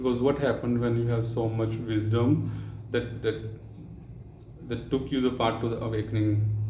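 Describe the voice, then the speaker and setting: Long, frequent pauses from a man at medium pitch, monotone and flat in intonation, with audible room echo. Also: moderate pace. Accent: Indian. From India. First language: Hindi. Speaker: spiritual vlogger. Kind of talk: spiritual talk. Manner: halting.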